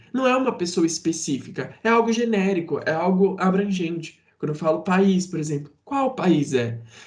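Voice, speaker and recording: With a high pitch and lively intonation, a man speaks at a moderate pace with hardly any pauses. Audible room echo surrounds his voice. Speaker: teacher. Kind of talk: lecture.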